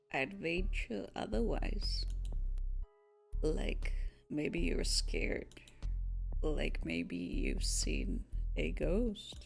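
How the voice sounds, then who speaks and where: A creaky put-on character voice at a very slow pace, with long, frequent pauses and clear music in the background. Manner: teasing, smug.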